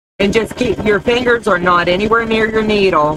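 Speaking at a moderate pace with ordinary pitch variation, a woman is heard in a dry sound with no echo over noticeable background noise. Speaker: crafts demonstrator. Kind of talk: live-stream crafting tutorial. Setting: live stream. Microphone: camera far.

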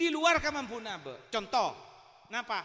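A man speaks in a raised, projected voice with an animated tone and a Madurese accent. His tone is bright and sharp against a quiet background. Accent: Madurese-accented Indonesian. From Madura. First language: Madurese (speaking Indonesian). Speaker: Islamic preacher. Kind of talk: sermon. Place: hall. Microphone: handheld.

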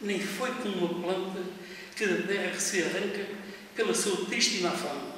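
Strong room echo and light background noise surround a high-pitched man. He speaks at a fairly slow pace with ordinary pitch variation. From Portugal. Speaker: retired driver, amateur poet. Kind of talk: poetry reading. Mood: wistful, nostalgic. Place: office.

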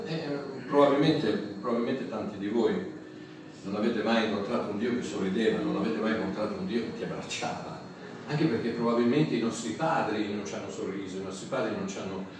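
Through strong room echo and noticeable background noise, a man with a fairly low pitch talks at a very fast pace. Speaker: pastor. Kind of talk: sermon. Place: hall.

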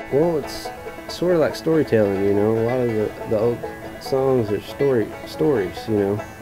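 Clear music plays behind a man speaking at a moderate pace. His pitch is medium and his intonation lively. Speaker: old-time musician. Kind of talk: interview answer. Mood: calm, reflective. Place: home room.

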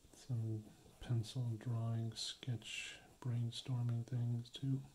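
A soft-spoken man, somewhat breathy, very slow, with a dark, mellow tone, monotone, flat intonation and light background noise. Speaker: beginner ASMR creator. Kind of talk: ASMR practice video talk to camera.

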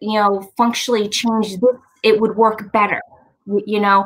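Here a woman speaks with an American accent and fairly even intonation. The background is quiet. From Long Island, New York; New York. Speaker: inventor and nurse; guest. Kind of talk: interview. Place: home room. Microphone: webcam.

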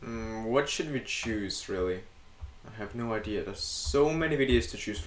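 Music plays in the background as a man speaks in a room with audible echo. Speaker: YouTube reaction video creator. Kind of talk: casual reaction commentary. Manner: hesitant, many filler words. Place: home room.

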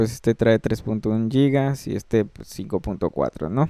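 A man with a Mexican accent, a dark, mellow tone and ordinary pitch variation. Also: dry, close sound with no echo. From Mexico. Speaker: music production tutor. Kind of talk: screen-recorded tutorial. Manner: hesitant, many fillers.

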